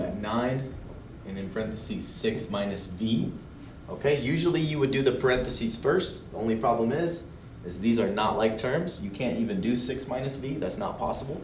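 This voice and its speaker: Amid audible room echo, a man speaks at a medium pitch with lively intonation. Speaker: math teacher. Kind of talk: tutorial. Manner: fast; casual, filler-heavy.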